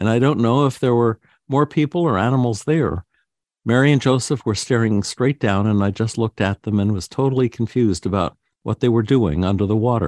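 A man's normal speaking voice at medium pitch and a fairly quick pace, with ordinary pitch variation, very even loudness and a dry, close sound with no echo over a quiet background. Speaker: radio host. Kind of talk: reading aloud. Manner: formal.

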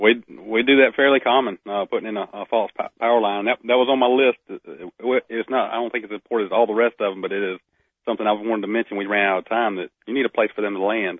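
A man with a Southern US accent, very fast pace and fairly even intonation. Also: medium pitch for a man. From Northeast Florida. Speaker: wildlife biologist. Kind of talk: casual radio interview. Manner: halting, many repetitions.

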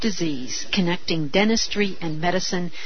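A woman speaks at a moderate pace with a fairly low pitch and lively intonation. Noticeable background noise runs under her voice. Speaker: radio host. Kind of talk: talk radio interview.

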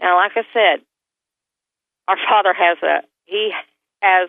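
Pitched in the medium range, a woman's voice varies in an ordinary way. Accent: Southern US. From US South. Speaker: near-death experiencer. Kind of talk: testimony. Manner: animated.

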